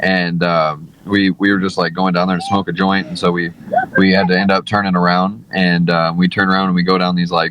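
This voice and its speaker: Through noticeable background noise, the man's very deep, low voice moves at a fairly quick speed with monotone, flat intonation. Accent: American. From St. Louis, Missouri. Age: 30s. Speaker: mixed martial arts fighter. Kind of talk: casual podcast interview.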